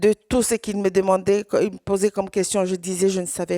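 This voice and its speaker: Speech comes at a very fast pace in a dark, mellow tone with a Swahili accent. The sound is dry and close with no echo, in a very clean recording with a silent background. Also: woman. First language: Swahili (speaking French). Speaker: survivor giving testimony. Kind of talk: testimony. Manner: halting, hesitant.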